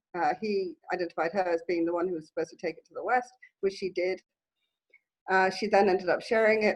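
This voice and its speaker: A woman at medium pitch, very fast pace and fairly even intonation. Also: big swings in loudness. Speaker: therapist and coach. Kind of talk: interview, explaining a healing practice. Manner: halting, many fillers.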